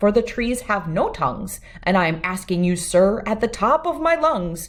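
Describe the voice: Someone reads aloud in a plain way.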